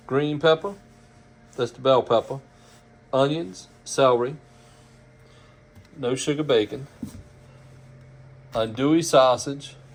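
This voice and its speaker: At a fairly slow pace with long, frequent pauses, a man with a Louisiana accent speaks with a fairly high pitch. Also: ordinary pitch variation. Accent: Cajun Louisiana. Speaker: home cook. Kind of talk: cooking video narration. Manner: folksy, casual.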